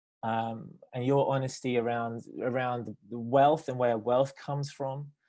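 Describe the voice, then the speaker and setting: Speaking with a British accent, a man keeps a medium pitch, fairly even intonation and a moderate pace. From Britain. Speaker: theologian and nonprofit director. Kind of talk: panel discussion. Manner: halting, many fillers.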